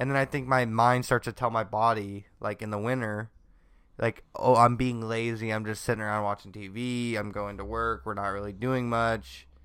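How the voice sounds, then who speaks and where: The man's voice sits at a medium pitch. His intonation is monotone and flat. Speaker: podcast co-host. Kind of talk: casual chat. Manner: fast.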